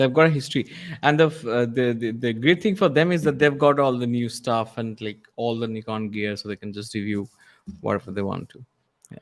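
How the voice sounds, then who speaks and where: A man with a non-native accent talks at a fairly quick pace in a medium pitch, with ordinary pitch variation and big swings in loudness. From India. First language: not English. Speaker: photography co-host. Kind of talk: casual chat.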